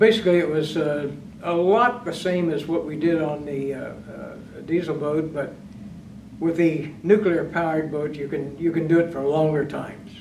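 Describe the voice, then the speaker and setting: Against light background noise and audible room echo, a man talks at a moderate pace with ordinary pitch variation. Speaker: retired navy submariner, master chief. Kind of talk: oral history interview. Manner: halting. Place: meeting room.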